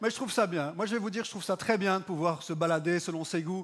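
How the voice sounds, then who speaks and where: A man with a high pitch talks at a very fast pace with ordinary pitch variation. The recording is very clean, with a silent background. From Belgium. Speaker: stand-up comedian. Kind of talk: stand-up.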